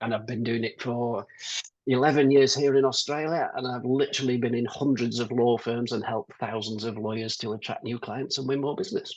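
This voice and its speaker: A man with a British accent, fairly quick pace and fairly even intonation. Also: medium pitch for a man. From UK. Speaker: business consultant. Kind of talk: webinar interview.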